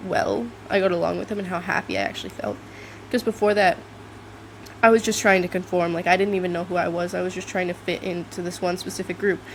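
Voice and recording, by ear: A woman's fairly low voice at a fairly quick pace, with ordinary pitch variation.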